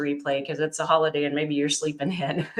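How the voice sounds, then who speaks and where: The speech is very fast and monotone, with flat intonation and noticeable background noise. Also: woman. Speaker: online business coach. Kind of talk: livestream pitch. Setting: live stream. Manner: casual, with many fillers.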